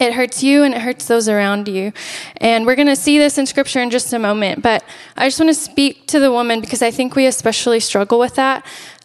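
Soft-spoken and high-pitched, a woman talks with fairly even intonation. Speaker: church worship leader and guest speaker. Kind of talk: sermon. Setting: church, handheld microphone.

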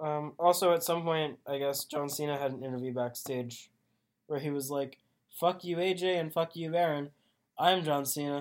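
Here is a plain, everyday voice from a man, fairly high in pitch. He keeps a moderate pace and fairly even intonation. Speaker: wrestling podcast co-host. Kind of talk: casual chat.

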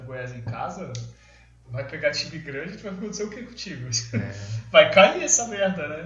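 A man's fairly slow speech with very wide pitch swings, noticeable background noise and audible room echo. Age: 30s. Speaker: podcast co-host. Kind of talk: casual chat.

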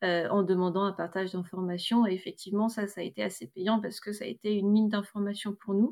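A woman in a normal speaking voice talks at a fairly quick pace and medium pitch with fairly even intonation. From northern France, Roubaix. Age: 30s. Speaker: grocery shop co-owner, entrepreneur. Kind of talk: testimony.

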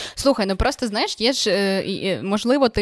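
With an unremarkable speaking voice, a woman talks at a moderate pace and medium pitch, her intonation lively, in a dry, close sound with no echo. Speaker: podcast host. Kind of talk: interview.

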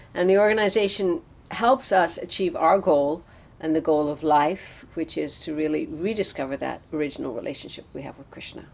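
A woman with an Irish accent speaks fairly quickly at a fairly low pitch. Her intonation is lively, with big swings in loudness. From Ireland, Newbridge (County Kildare). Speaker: temple president. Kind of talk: interview.

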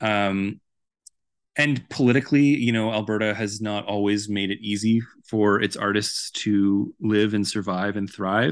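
Over a quiet background, a normal speaking voice with a Canadian accent moves at a fairly slow pace with fairly even intonation. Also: man, fairly low pitch for a man. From Vancouver, Canada. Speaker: author and journalist. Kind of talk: interview.

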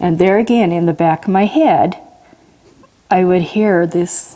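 Over noticeable background noise, a woman with an American accent talks at a moderate pace, her medium pitch showing ordinary variation. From Washington state, US. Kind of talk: testimony.

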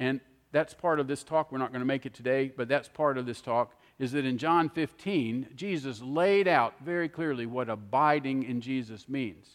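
The man has a normal speaking voice and talks at a moderate pace. His pitch varies in an ordinary way, and the background is quiet. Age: 60s. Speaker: preacher. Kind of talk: sermon. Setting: church.

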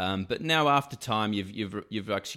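On a very clean recording with a silent background, a man with an Australian accent talks fairly quickly in a bright, sharp tone. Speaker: insurance executive. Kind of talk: interview. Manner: halting, many fillers and repeated words.

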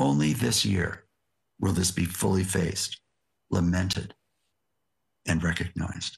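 Speaking with an American accent, a man uses a very deep, low pitch and a somewhat breathy voice at a fairly slow pace, with long, frequent pauses. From US West Coast, Yakima area of Washington. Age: 60s. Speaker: seminary president and theologian. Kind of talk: lecture. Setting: remote video link.

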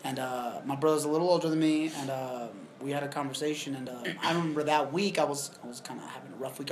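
Through noticeable background noise, a man talks very fast with a fairly high pitch and ordinary pitch variation. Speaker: podcast co-host. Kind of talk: casual chat. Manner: loud.

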